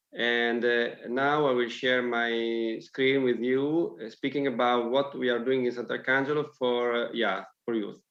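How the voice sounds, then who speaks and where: With fairly even intonation, a man talks at a fairly slow pace. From Italy. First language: Italian. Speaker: local councillor. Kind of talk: presentation. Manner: halting.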